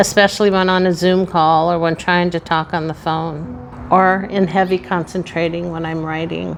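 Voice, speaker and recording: A woman's voice with fairly even intonation, music in the background. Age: 60s. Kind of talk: personal reflective talk to camera.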